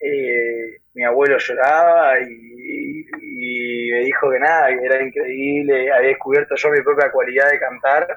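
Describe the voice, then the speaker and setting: A man at a fairly slow pace with hardly any pauses. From Argentina, central Buenos Aires province. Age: 20s. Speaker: singer-songwriter and guitarist. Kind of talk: interview.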